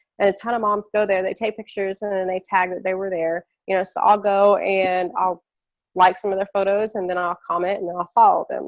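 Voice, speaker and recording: A woman's fairly quick speech at a medium pitch, with a dry, close sound and no echo. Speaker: network marketing trainer. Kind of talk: live training webinar. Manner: fast; casual, filler-heavy.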